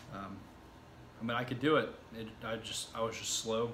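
A man at a fairly quick pace with monotone, flat intonation, audible room echo and light background noise. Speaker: self-taught web developer vlogger. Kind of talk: casual vlog chat. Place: home room. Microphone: camera far.

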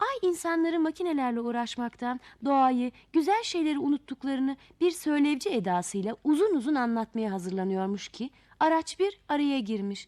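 Her intonation is lively and her pitch high, with a dark, mellow tone. This woman moves at a fairly quick pace with few pauses.

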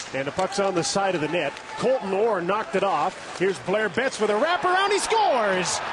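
A man speaks at a high pitch with lively intonation. The sound is dry with no echo, under loud background noise. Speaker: play-by-play announcer. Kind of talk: live sports commentary. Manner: rapid-fire, rising excitement on goals. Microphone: headset.

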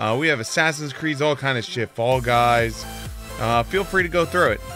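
A man speaks at a moderate pace and a medium pitch, his tone bright and sharp, with ordinary pitch variation and faint music in the background.

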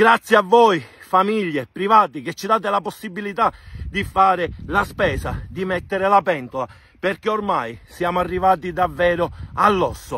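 At a moderate pace, a man projects a raised voice at a high pitch, bright and sharp in tone, with ordinary pitch variation and a dry sound with no echo. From Sicily. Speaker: farmer. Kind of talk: angry protest talk to camera. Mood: angry and frustrated. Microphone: phone near.

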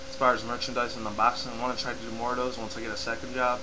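Noticeable background noise is present. Through it, a man speaks at a very fast pace. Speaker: YouTube vlogger. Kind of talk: casual talk to camera. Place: home room. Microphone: webcam.

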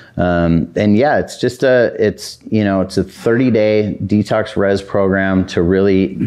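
His pitch sits very deep and low. The man has an American accent. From Southern California. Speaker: addiction recovery center co-founder. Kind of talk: interview. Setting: studio. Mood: calm, relaxed. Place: studio.

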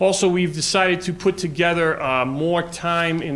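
A man is speaking. He talks in a New York accent. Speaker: assistant principal. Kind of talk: presentation to school board. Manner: halting, many fillers.

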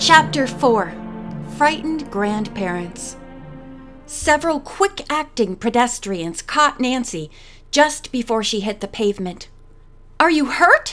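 With music in the background, a woman with a high pitch and very wide pitch swings speaks at a fairly slow pace with long, frequent pauses. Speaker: audiobook narrator. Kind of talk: audiobook reading.

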